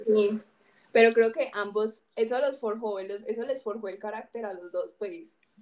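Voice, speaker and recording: A woman with a normal speaking voice talks at a fairly slow pace in a fairly high pitch. Her intonation stays fairly even while her loudness swings widely. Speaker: podcast host. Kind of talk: casual chat.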